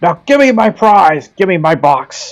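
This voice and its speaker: A man shouts in a gruff, put-on character voice, high in pitch with very wide pitch swings. His pace is moderate, and music plays in the background. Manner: shouting, demanding.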